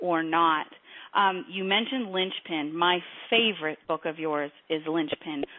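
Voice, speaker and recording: Speech comes at a moderate pace. Intonation holds fairly even. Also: woman. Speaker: financial industry coach and interviewer. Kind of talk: interview. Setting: webinar. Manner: loud.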